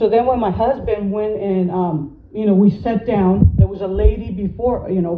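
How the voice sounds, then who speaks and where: Noticeable background noise and audible room echo surround the speaker. She is a woman of medium pitch with fairly even intonation. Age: 50s. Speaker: citizen telling of a dispute. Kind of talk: personal testimony. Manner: halting, repetitive.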